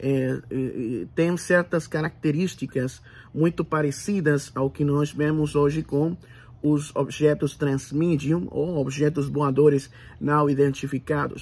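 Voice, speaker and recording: At a very slow pace, a somewhat breathy man speaks in a monotone, flat intonation at a fairly high pitch. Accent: Puerto Rican. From Puerto Rico. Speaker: channel host. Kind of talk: solo video monologue. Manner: halting, many fillers. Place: home room. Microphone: phone near.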